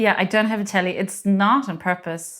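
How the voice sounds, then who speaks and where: On a very clean recording with a silent background, a woman talks at a moderate pace and a medium pitch with a German accent. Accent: German accent, noticeable. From Germany. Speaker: homeowner. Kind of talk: casual chat. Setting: at home in her living room.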